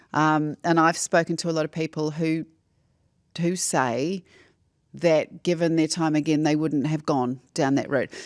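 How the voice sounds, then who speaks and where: A woman with a New Zealand accent speaks at a fairly slow pace in a very deep, low pitch with monotone, flat intonation, in a dry, close sound with no echo on a very clean recording with a silent background. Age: 60s. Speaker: former broadcaster and journalist. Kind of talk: casual chat.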